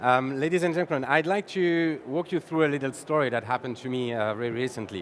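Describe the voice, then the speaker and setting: A man with a French accent, very fast and with hardly any pauses, using ordinary pitch variation. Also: medium pitch for a man. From France. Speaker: sales executive, conference speaker. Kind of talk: conference talk. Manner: halting, with repetitions.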